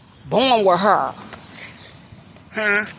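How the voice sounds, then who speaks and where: With noticeable background noise behind her, a woman speaks at a fairly slow pace with ordinary pitch variation. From Philadelphia, Germantown. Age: 50s. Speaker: vlogger. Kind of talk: rant. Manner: loud; animated.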